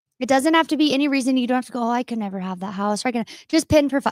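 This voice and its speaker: The speech moves at a very fast pace, and the sound is dry and close with no echo. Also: woman. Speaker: marketing and design guest. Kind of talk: casual chat.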